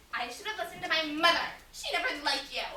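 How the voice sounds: Using a put-on character voice, a woman talks fast with extremely high pitch, a bright, sharp tone and lively intonation amid strong room echo.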